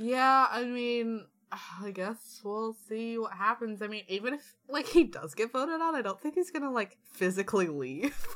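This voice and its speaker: A woman's fairly high-pitched, ordinary speaking voice, with lively intonation and a moderate pace. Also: hardly any pauses. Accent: American. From Washington DC, US. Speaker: podcast co-host. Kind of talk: casual chat.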